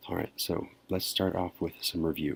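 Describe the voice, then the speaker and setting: A man talks in a soft-spoken way. His pitch is very deep and low. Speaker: math teacher. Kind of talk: lecture. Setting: at home at night.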